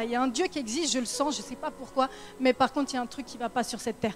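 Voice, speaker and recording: Over noticeable background noise, a woman speaks at a very fast pace in a high pitch, with ordinary pitch variation. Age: 20s. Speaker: church testimony speaker. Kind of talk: testimony.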